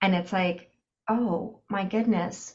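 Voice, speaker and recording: Very slowly, a woman talks with fairly even intonation. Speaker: podcast host. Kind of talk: casual chat. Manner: loud.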